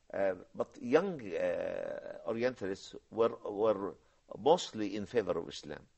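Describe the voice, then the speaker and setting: A man with an Arabic accent speaks at a very slow pace. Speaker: professor, Islamic science scholar. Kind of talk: TV discussion, explanatory talk. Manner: halting, many fillers.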